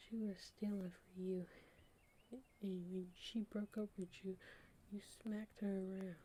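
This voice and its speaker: Behind this recording there is noticeable background noise. A woman at a medium pitch speaks slowly-ish, at a fairly slow pace, in a monotone, flat intonation. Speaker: ASMR creator, hospital worker. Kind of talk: whispered audiobook reading. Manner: whispered, soft, relaxing.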